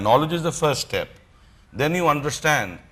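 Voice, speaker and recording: A man with a strong Punjabi accent, fairly high in pitch, at a fairly quick pace. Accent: strong Punjabi Indian English. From India. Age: 50s. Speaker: motivational speaker. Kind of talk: motivational talk.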